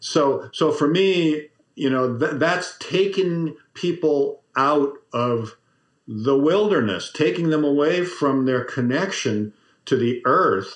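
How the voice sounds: Speaking slowly, a man uses lively intonation at a fairly high pitch.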